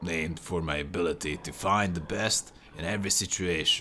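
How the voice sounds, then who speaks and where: A man puts on a character voice that is raspy and hissing, with a very deep, low pitch. His pitch variation is ordinary. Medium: game stream. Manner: unctuous, mock-polite.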